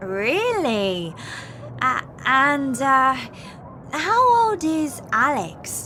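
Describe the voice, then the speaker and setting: Over noticeable background noise, a woman speaks in a raised, projected, high-pitched voice with very wide pitch swings, at a very slow pace with long, frequent pauses. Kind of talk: scripted English-learning dialogue.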